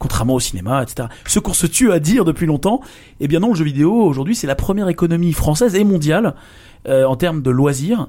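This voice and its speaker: A man with a fairly high pitch and a dark, mellow tone talks at a fairly quick pace. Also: lively intonation. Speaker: podcast host. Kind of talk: casual interview.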